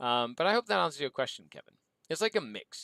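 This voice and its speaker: This man's voice sits fairly high with a bright, sharp tone. The sound is dry and close, with no echo. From Mexico, then Canada. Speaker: gaming podcast host. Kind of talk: casual Q&A livestream.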